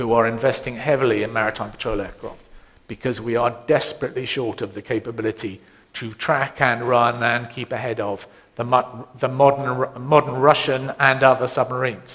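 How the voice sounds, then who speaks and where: The speaker is a man with a British accent. He keeps to a moderate pace. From Britain. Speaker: navy admiral. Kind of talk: panel Q&A. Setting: conference seminar with audience.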